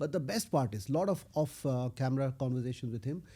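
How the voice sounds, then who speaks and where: A man speaks at medium pitch with a dark, mellow tone and a somewhat breathy quality. His pace is fairly quick and his intonation lively. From India, Odisha (Puri). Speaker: tech executive. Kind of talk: interview conversation. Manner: animated storytelling.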